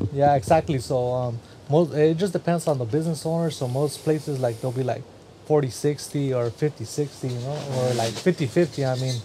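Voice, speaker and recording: A man with an American accent and a normal speaking voice, fairly high in pitch, with ordinary pitch variation at a fairly quick pace. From Central California. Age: 30s. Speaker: barber and barber supply business owner. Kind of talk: casual chat.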